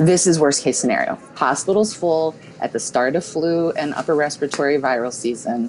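A woman's very deep, low voice at a fairly quick pace, with ordinary pitch variation, hardly any pauses and light background noise. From South Dakota, Pierre; South Dakota. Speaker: nurse practitioner. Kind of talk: interview. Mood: concerned, urgent. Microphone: earbuds.

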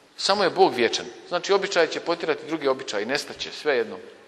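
Speaking at a very fast pace, a man with a high pitch is heard over noticeable background noise. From Bosnia and Herzegovina, Kupres. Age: 50s. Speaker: priest. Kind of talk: sermon.

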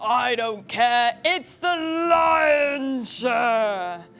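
Faint music plays in the background. Over it comes a put-on character voice at a fairly high pitch. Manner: roaring, bossy, dismissive.

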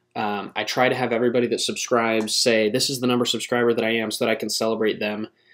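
Over a quiet background, a man talks at a very fast pace with monotone, flat intonation. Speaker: channel host. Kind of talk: casual vlog chat. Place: home room. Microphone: webcam.

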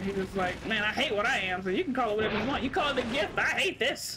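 A woman speaks at a very fast pace and a fairly high pitch with ordinary pitch variation over noticeable background noise. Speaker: gaming streamer. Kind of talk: casual gameplay commentary.

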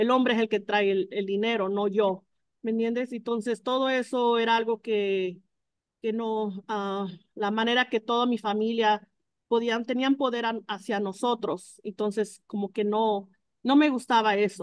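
A woman's fairly high voice with fairly even intonation at a fairly slow pace, in a dry sound with no echo and a quiet background. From Mexico, Jalisco. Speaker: food truck co-owner. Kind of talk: testimony. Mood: earnest, reflective. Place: kitchen. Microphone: video call.

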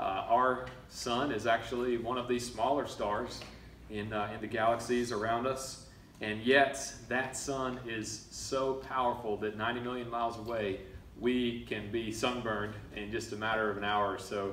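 In a room with audible echo and light background noise, a man talks at a moderate pace in a flat monotone. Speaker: preacher. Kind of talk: sermon. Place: church. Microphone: camera far.

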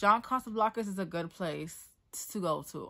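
Behind the voice, the background is quiet. A woman delivers her words at a moderate pace. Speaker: modeling and acting student. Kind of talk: casual talk to camera. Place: home room. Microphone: earbuds.

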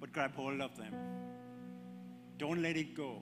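A man's fairly slow speech plays out with music underneath. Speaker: preacher. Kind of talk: sermon. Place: church. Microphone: handheld.

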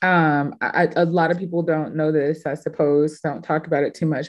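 Against a quiet background, a woman with an American accent speaks at a fairly quick pace in a very deep, low pitch with ordinary pitch variation. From Houston, Texas. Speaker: curator and artist; panelist. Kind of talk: panel discussion. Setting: video call. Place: home room. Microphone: webcam.

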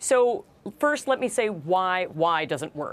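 Very slowly, a woman with an American accent speaks with lively intonation. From New York (Brooklyn); New York. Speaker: law professor and negotiation author; law professor. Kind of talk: interview.

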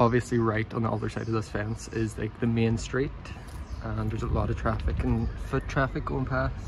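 Light background noise sits under a man who talks at a moderate pace. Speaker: urban explorer vlogger. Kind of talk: casual vlog chat. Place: street. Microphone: phone near.

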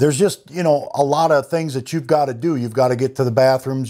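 Over a quiet background, a man speaks at a fairly quick pace with a dark, mellow tone and fairly even intonation. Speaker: van life vlogger. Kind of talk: casual vlog chat. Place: shop. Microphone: lapel.

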